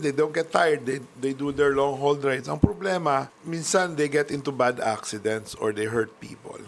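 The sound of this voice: With vocal fry, the speaker keeps a moderate pace, ordinary pitch variation and few pauses. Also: man.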